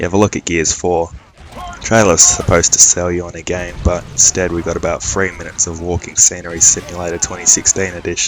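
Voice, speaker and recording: With an Australian accent, a man with a very deep, low pitch talks at a very fast pace in a monotone, flat intonation, his loudness swinging widely over noticeable background noise. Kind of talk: gameplay commentary.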